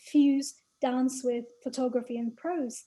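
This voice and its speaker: A woman talks at a fairly slow pace with monotone, flat intonation. Her voice is high-pitched, with a dark, mellow tone. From not American. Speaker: arts project co-founder. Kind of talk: panel discussion.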